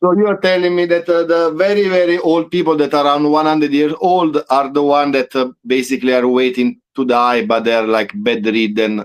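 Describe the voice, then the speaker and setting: A man uses a normal speaking voice, fairly high in pitch with lively intonation. His loudness stays very even and he hardly pauses. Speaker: podcast host. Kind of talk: casual conversation.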